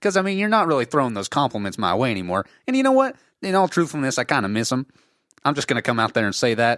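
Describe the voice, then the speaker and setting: Talking at a very fast pace, a man uses medium pitch with very wide pitch swings, recorded dry and close with no echo. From United States. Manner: jokey, boastful.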